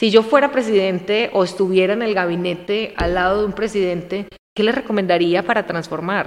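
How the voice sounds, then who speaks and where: A woman speaks in an unremarkable speaking voice, medium in pitch, with fairly even intonation. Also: fairly quick pace. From Colombia, coffee region (Armenia, Quindío). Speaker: business consultant. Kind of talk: casual interview chat.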